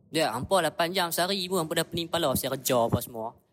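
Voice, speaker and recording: Speaking at a very fast pace, a man with a high pitch uses ordinary pitch variation in a very clean recording with a silent background. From northern Peninsular Malaysia. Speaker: podcast guest. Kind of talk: casual chat.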